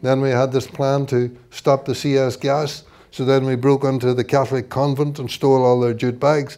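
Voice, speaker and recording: With a Northern Irish accent, a man speaks in a dark, mellow tone at a medium pitch and moderate pace, his intonation monotone and flat. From Northern Ireland. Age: 70s. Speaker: author and socialist activist. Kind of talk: book launch talk. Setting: event with audience.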